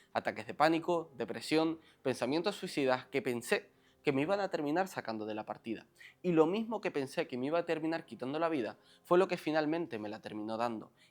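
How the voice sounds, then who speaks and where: A man talks at a fairly quick pace in a fairly high pitch, with a normal speaking voice. The recording is very clean, and the background is silent. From Canary Islands, Lanzarote. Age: 20s. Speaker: self-help coach. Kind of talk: motivational monologue.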